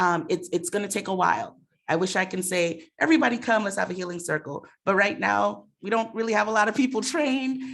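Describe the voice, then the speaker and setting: A woman with an American accent speaks at a fairly quick pace in a plain, everyday voice, her medium pitch carried by lively intonation. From Mount Vernon, New York. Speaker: racial equity director at a nonprofit. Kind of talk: panel discussion. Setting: room with audience and Zoom.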